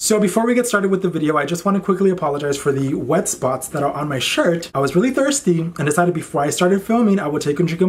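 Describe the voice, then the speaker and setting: Lively intonation marks this very fast speech, heard over noticeable background noise. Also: man. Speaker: YouTuber. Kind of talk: casual vlog monologue. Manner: casual, chatty.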